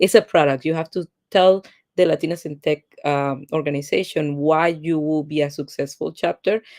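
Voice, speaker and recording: With a Spanish accent, the speaker talks at a moderate pace with fairly even intonation in a dry, close sound with no echo. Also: woman, very deep, low pitch for a woman. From Colombia. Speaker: tech executive, product manager. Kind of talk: interview.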